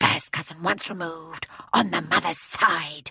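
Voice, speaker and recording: A woman does a put-on character voice at a fairly low pitch. She sounds gruff and growling at a moderate pace. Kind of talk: children's audiobook character voice. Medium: read story. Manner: soft-spoken, deferential.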